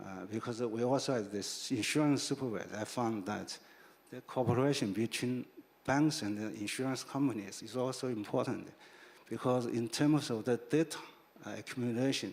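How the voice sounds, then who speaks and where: A man speaks with a Chinese accent. His intonation stays fairly even. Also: medium pitch for a man, moderate pace. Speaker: financial regulator, panelist. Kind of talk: panel discussion. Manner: halting, many fillers.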